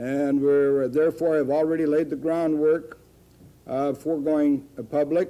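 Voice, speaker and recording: In an American accent, a dark, mellow voice speaks at a moderate pace. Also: man. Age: 70s. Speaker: food company founder. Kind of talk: news interview.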